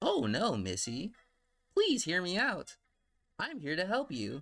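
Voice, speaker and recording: Here a man puts on a character voice at a high pitch. He speaks at a fairly slow pace. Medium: read story.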